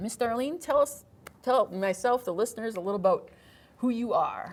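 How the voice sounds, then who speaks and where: Here a woman speaks with an Upper Midwest accent. Her tone is animated. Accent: Upper Midwest American. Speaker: podcast host. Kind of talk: casual interview.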